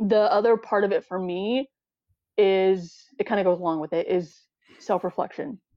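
With an American accent, a woman speaks in an unremarkable speaking voice at a medium pitch and moderate pace, using ordinary pitch variation. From US Arizona. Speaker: interviewee, fitness enthusiast. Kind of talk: casual interview chat.

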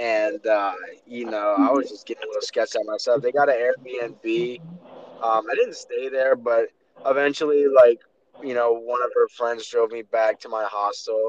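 A normal speaking voice with an American accent moves at a moderate pace with fairly even intonation and big swings in loudness, in a dry, close sound with no echo. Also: man, medium pitch for a man. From Maryland, Baltimore area. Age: 20s. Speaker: podcast host. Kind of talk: casual chat. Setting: phone call while driving.

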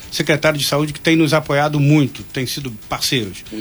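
A man talks very fast at a fairly high pitch, with noticeable background noise behind him. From Angra dos Reis, Rio de Janeiro state, Brazil. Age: 60s. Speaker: hospital administrator. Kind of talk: radio interview. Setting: radio studio. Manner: halting.

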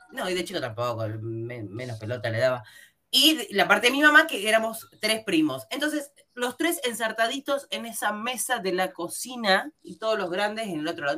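Her medium-pitched voice has a bright, sharp tone and vocal fry, and as this woman talks at a moderate pace her pitch swings very widely and her loudness rises and falls in big swings. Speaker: podcast host. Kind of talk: casual chat.

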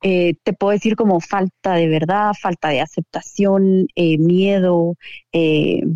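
Very slowly and at very even loudness, a woman speaks in a medium pitch with ordinary pitch variation. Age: 40s. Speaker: entrepreneur. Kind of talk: interview. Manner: halting.

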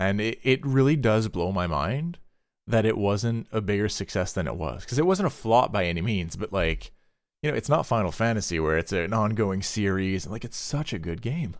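With a plain, everyday voice, a man speaks at a moderate pace and a fairly low pitch, his intonation lively, on a very clean recording with a silent background. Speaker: podcast host. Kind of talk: casual chat.

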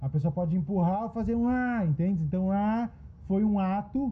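A man talks at a moderate pace with a high pitch. His tone is dark and mellow, with ordinary pitch variation. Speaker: podcast host and writing workshop facilitator; therapist. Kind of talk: group discussion.

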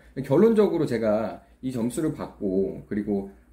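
Speaking at a moderate pace, a man with a medium-pitched, dark, mellow voice shows vocal fry and very wide pitch swings. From South Korea. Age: 20s. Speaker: YouTuber. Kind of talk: monologue vlog. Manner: halting.

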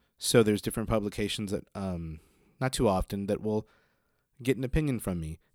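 On a very clean recording with a silent background, a man with a fairly low pitch talks at a fairly quick pace, showing ordinary pitch variation and leaving long, frequent pauses. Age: 30s. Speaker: podcast host, small business owner. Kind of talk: solo casual monologue. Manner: animated, laughing often.

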